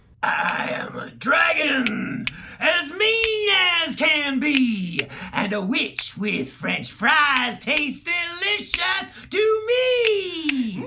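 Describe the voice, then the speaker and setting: Against clear background noise, a put-on character voice moves at a very slow pace with very wide pitch swings. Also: man, extremely high pitch for a man. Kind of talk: children's theatre singalong. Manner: menacing, gloating.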